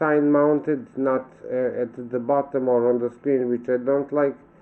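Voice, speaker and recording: A man with a Serbian accent talks slowly-ish in a fairly high pitch, his intonation monotone and flat. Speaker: vlogger. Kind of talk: casual monologue vlog. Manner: halting, with self-corrections.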